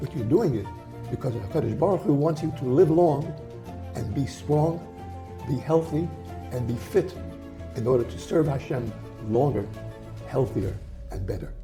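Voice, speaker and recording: A man talks at a moderate pace in a medium pitch, with very wide pitch swings and long, frequent pauses. Music plays in the background. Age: 80s+. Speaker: health author. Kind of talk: interview answer.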